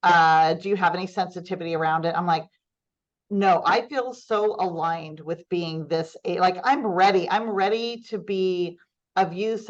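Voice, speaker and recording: A woman, using an ordinary speaking voice, talks at a medium pitch and a moderate pace with ordinary pitch variation. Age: 60s. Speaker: nonprofit foundation CEO. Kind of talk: podcast interview.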